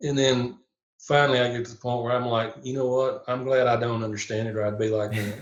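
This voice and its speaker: Fairly quick speech comes from a man at medium pitch. His intonation stays fairly even. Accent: Southern US. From Tennessee. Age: 60s. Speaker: police chaplain and minister. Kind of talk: podcast interview. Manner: halting, many fillers.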